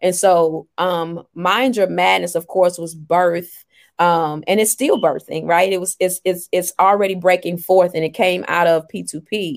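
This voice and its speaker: A woman's fairly low-pitched, fairly slow delivery with fairly even intonation, an unremarkable speaking voice and hardly any pauses, on a very clean recording with a silent background. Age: 40s. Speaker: life coach and author. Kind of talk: interview.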